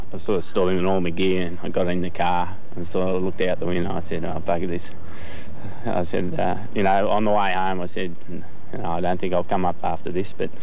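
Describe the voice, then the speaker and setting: Over light background noise, a man talks at a fairly quick pace in a very deep, low voice with monotone, flat intonation and a dry sound with no echo. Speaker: interviewee. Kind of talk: interview answer. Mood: reflective, modest. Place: garden. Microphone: lapel.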